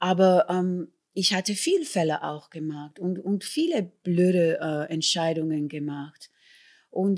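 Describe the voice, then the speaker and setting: A woman at a very slow pace. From New York City, South Bronx (Puerto Rican family). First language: English (speaking German). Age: 60s. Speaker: musical performer and singer. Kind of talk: interview.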